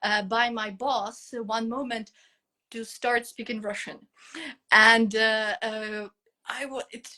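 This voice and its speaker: A woman with a Ukrainian accent speaks very slowly at a fairly high pitch in a bright, sharp tone, with long, frequent pauses. Her intonation is monotone and flat, while her loudness swings widely. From Ukraine. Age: 30s. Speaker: English teacher. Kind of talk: interview. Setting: online live stream. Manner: halting, many fillers.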